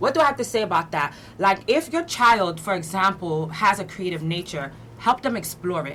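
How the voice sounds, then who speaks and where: Speaking at a moderate pace, a woman with a fairly low pitch sounds animated, her intonation lively. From Brooklyn, New York, Haitian family. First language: French, then Haitian Creole. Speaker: community activist and motivational speaker. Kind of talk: interview.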